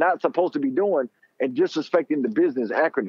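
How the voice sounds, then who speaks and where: A man with an American accent speaks at a high pitch, the sound dry with no echo and the background quiet. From Miami, Florida. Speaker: wardrobe stylist. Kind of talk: interview. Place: studio. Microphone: studio mic.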